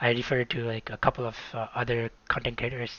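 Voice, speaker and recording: A man with a South Asian accent, at a medium pitch. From Nepal. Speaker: video game streamer. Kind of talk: live stream commentary. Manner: hesitant, many fillers.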